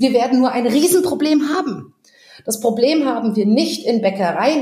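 Noticeable background noise sits behind a woman with a high pitch, an animated tone and ordinary pitch variation. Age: 40s. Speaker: social entrepreneur. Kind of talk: casual chat.

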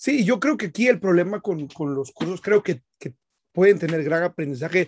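Over a dry, close sound with no echo, a man speaks at a high pitch and moderate pace with lively intonation. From Guatemala. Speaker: podcast host, car detailer. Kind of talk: casual chat. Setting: live stream, remote call.

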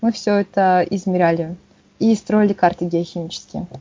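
The woman's voice has some breathiness. She speaks fairly slowly. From Yakutsk, Russia. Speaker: geology researcher. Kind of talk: casual interview.

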